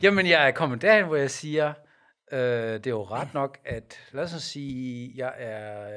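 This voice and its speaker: A man with an unremarkable speaking voice, medium in pitch, with ordinary pitch variation, on a very clean recording with a silent background. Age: 50s. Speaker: pastor and podcast co-host. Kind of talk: casual debate.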